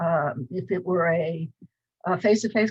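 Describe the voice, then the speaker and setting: In an American accent, a woman with a fairly low pitch and ordinary pitch variation speaks at a fairly slow pace, somewhat breathy, in a dry, close sound with no echo. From US Midwest, Cleveland, Ohio. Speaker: professor. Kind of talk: lecture. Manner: hesitant, many fillers.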